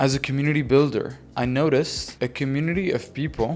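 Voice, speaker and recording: Music plays in the background as a man talks. He keeps a medium pitch and a moderate pace. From Lebanon. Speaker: marketing agency founder. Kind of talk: interview. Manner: hesitant, filler words.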